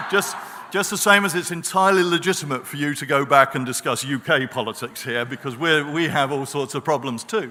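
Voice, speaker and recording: A fairly high-pitched man at a fairly quick pace, with ordinary pitch variation. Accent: British. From Britain. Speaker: professor on a peace studies panel. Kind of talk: panel talk. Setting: conference stage with audience.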